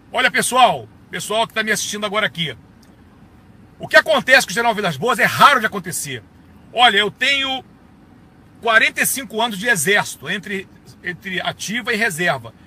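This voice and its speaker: A man with a high pitch speaks in a raised, projected voice, his animated tone and lively intonation set at a fairly quick pace and broken by long, frequent pauses. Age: 60s. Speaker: retired army colonel. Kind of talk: political video monologue.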